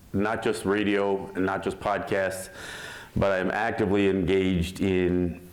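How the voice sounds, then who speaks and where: Speaking with an American accent, a man has a very deep, low pitch and a fairly slow pace. Audible room echo surrounds his voice. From Mohawk, Six Nations area, Western New York. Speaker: Native activist and radio host. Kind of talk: talk at a teach-in. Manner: loud; animated.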